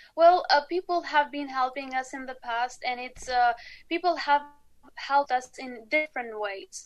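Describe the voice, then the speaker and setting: Her loudness swinging widely, a woman with a high voice speaks at a moderate pace with ordinary pitch variation. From Kosovo. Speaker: astronomy outreach founder. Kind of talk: interview.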